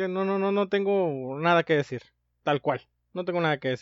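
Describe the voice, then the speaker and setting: With a Mexican accent, a man talks at a moderate pace in a high pitch and lively intonation. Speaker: podcast co-host. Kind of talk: casual chat.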